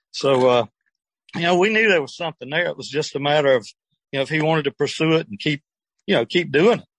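With a Southern US accent, a man speaks at a very fast pace in a fairly high pitch with lively intonation and long, frequent pauses, in a dry, close sound with no echo. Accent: Southern US (Georgia). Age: 70s. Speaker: retired air force veteran, music manager. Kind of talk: interview.

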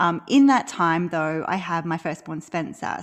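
A woman with an Australian accent speaks at a moderate pace with a fairly low pitch. Her pitch variation is ordinary, and the background is quiet. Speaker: maternity leave coach. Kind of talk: casual interview chat.

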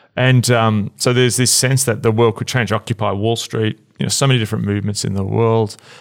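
With a Melbourne accent, a man speaks at a very fast pace and a medium pitch. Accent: Australian, Melbourne, fairly flat. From Melbourne, Australia. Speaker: podcast host, church leader. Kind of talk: casual conversational discussion. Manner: hesitant, many fillers.

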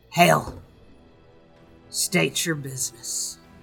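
A man puts on a raspy character voice with very wide pitch swings. Faint music plays in the background. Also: medium pitch for a man. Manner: challenging, guarded.

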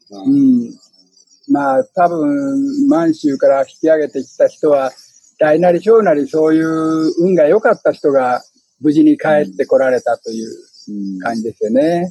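A man's voice makes very wide pitch swings. The sound is dry and close, with no echo. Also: fairly high pitch for a man, fairly slow pace. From Fukuyama, Hiroshima, Japan. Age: 80s+. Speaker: author and wartime Manchuria survivor.

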